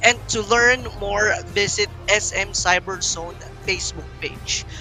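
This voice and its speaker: The speech comes at a very slow pace. Music plays in the background. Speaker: esports shoutcaster. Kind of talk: esports shoutcasting / event presenting.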